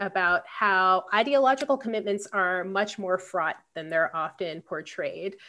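Using a normal speaking voice, a woman with an American accent talks at a fairly slow pace and medium pitch with ordinary pitch variation. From Philadelphia, US. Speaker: political science professor. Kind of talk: interview.

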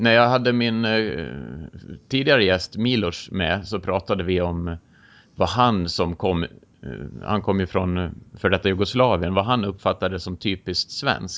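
At a fairly slow pace with long, frequent pauses, a man with a Swedish accent speaks at a very deep, low pitch with ordinary pitch variation. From rural Sweden. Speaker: podcast host. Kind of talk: interview.

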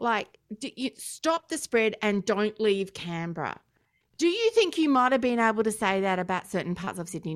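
Very wide pitch swings mark this moderately paced speech, recorded very clean with a silent background and a dry, close sound with no echo. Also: woman, fairly high pitch for a woman. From Australia. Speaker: podcast host. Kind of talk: casual banter podcast. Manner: dry, humorous.

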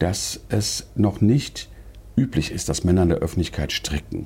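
A man's dark, mellow voice with vocal fry, lively intonation and a moderate pace. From Germany, Wiesbaden (Hesse). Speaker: yarn shop owner. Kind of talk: interview. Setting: in a shop.

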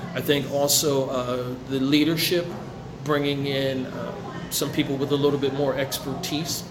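Over noticeable background noise and audible room echo, a man with an American accent speaks at a fairly slow pace, in a fairly high pitch with monotone, flat intonation. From New Jersey, Ewing near Trenton. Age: 40s. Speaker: community organizer. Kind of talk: interview. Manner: halting, many fillers.

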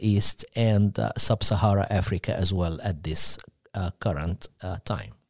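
With an Egyptian accent, a man talks at a fairly slow pace in a dry, close recording that is very clean, with no echo and a silent background. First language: Arabic. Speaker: missionary church leader. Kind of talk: radio interview. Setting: studio.

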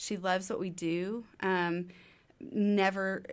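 In a very clean recording with a silent background, a woman with an American accent speaks in a normal speaking voice at medium pitch with fairly even intonation. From East Texas. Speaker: ministry founder. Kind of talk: casual interview. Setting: studio.

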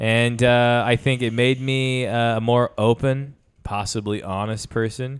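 The recording is very clean with a silent background. The pace is very slow. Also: man. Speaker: podcast co-host. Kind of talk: casual banter.

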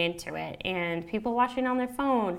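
In an unremarkable speaking voice with an American accent, a woman talks at a moderate pace in a fairly high pitch with lively intonation. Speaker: podcast host. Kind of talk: casual solo monologue. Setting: home recording, apartment near pool. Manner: casual, filler-heavy.

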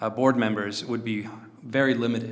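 In an ordinary speaking voice, a man talks at a medium pitch and a moderate pace. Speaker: podcast host, investor. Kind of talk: casual improvised podcast chat.

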